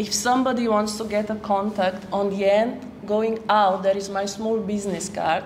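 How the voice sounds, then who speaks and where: A woman with a Slovenian accent speaks at medium pitch and a moderate pace, her intonation monotone and flat. The recording has audible room echo and noticeable background noise. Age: 40s. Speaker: photographer. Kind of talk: public talk.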